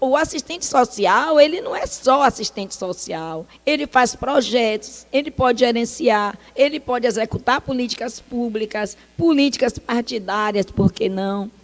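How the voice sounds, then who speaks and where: High in pitch, a woman speaks at a fairly slow pace in an animated tone, her intonation lively and her speech with hardly any pauses. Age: 60s. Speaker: social worker. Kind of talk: talk.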